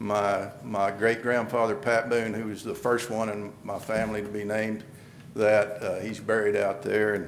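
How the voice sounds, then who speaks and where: A man with a New Mexico accent speaks at a moderate pace in a fairly low pitch, his intonation monotone and flat, with audible room echo. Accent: rural southwestern US, New Mexico. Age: 60s. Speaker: candidate for appointed public office, rancher. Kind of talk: public statement at commission meeting. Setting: county commission meeting room. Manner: halting, many repetitions and fillers.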